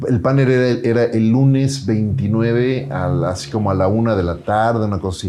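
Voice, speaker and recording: With audible room echo, a man of medium pitch speaks at a fairly slow pace with ordinary pitch variation. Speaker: entrepreneur and podcaster. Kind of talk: interview storytelling.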